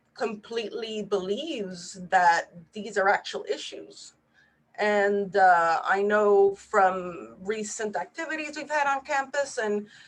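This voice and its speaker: With a Spanish accent and a medium pitch, a woman speaks at a very slow pace with lively intonation. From Puerto Rico. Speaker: neurologist. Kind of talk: webinar presentation.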